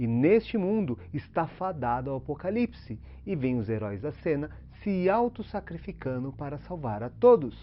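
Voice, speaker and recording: His pitch swinging very widely around a medium level, a man speaks at a moderate pace. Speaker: YouTuber explaining films and philosophy. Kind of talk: scripted video commentary. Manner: casual, conversational.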